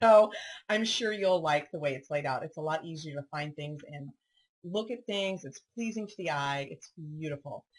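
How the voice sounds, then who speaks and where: Speaking at a moderate pace, a woman sounds somewhat breathy. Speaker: paper crafting video host. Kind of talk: product walkthrough tutorial. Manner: casual, chatty with many fillers.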